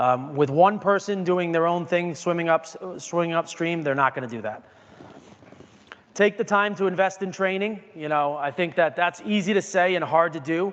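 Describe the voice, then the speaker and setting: A high-pitched man with ordinary pitch variation, over noticeable background noise. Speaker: wine industry executive giving a talk. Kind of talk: lecture. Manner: fast.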